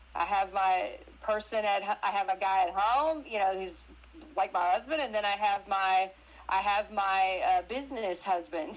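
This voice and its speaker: A woman's medium-pitched voice with a Southern US accent, at a moderate pace with ordinary pitch variation. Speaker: actress and crypto interview guest. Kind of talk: casual chat. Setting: live audio stream on social media. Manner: animated.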